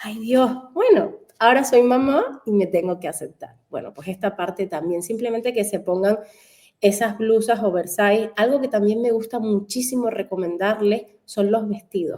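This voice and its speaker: In a Canary Islands accent, a woman speaks at a moderate pace and a fairly high pitch, with a dark, mellow tone and ordinary pitch variation. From Canary Islands, Spain. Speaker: fashion stylist. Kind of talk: radio interview.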